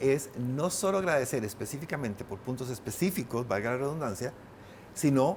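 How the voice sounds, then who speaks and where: This man speaks with lively intonation. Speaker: painter and writer. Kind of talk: interview conversation. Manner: fast.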